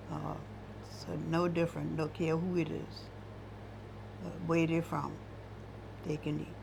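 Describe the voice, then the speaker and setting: With an American accent, the speaker talks at a fairly slow pace with long, frequent pauses. Audible room echo surrounds the voice. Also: woman. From US South, Johns Island, South Carolina. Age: 80s+. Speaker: retired cook. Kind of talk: oral history interview.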